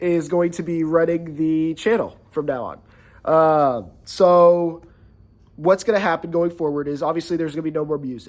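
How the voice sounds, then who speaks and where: A man with a high pitch speaks at a moderate pace, his intonation fairly even. The recording is very clean, with a silent background. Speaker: musician and channel owner. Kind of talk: casual vlog update. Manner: hesitant with many fillers.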